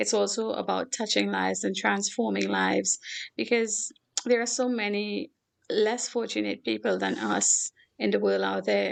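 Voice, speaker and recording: With a Caribbean accent, a woman talks at a moderate pace. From Trinidad and Tobago. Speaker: philanthropist. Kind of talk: talk show interview.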